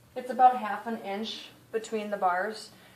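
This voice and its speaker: A woman talks at a moderate pace. There is audible room echo and noticeable background noise. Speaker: pet care vlogger. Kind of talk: tutorial. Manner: animated.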